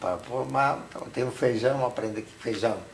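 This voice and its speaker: A man talks at a medium pitch as noticeable background noise carries on behind him. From Hungary. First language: Hungarian (speaking Portuguese). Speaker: Holocaust survivor. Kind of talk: testimony interview.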